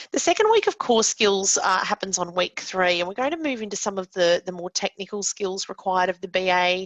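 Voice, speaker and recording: With an Australian accent, a woman with a medium pitch talks at a fairly quick pace with ordinary pitch variation and hardly any pauses. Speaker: course presenter and business analyst. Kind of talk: webinar lecture. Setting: online webinar. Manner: fast; many filler words.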